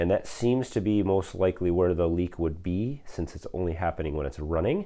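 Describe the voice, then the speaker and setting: A man speaks in a very deep, low, dark, mellow voice with ordinary pitch variation. The background is quiet. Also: fairly quick pace. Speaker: farmer fixing his tractor. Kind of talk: tutorial. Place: garage. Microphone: earbuds.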